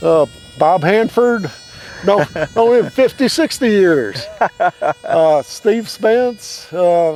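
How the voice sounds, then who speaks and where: A man speaks at a very slow pace with long, frequent pauses, his high pitch making very wide swings. Noticeable background noise runs underneath. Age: 70s. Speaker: model aircraft club president and contest director. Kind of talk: casual interview. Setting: outdoors at an airfield event.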